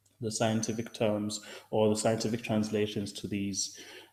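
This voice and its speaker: A man speaks with a Zulu accent. His voice is fairly low. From South Africa. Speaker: science writer. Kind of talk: lecture. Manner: halting, many fillers.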